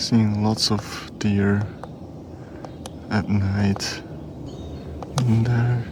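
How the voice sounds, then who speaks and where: Soft-spoken and very slow, a man talks at a fairly low pitch in a monotone, flat intonation over noticeable background noise. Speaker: nature photographer vlogger. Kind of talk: casual vlog narration. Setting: outdoors.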